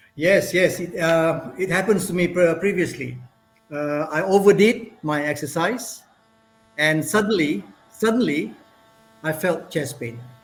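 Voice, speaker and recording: A man talks at a high pitch and a fairly slow pace, with long, frequent pauses and ordinary pitch variation. Audible room echo and noticeable background noise fill the recording. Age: 60s. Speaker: professor, university head. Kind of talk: presentation and Q&A. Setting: virtual conference. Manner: hesitant, repetitive.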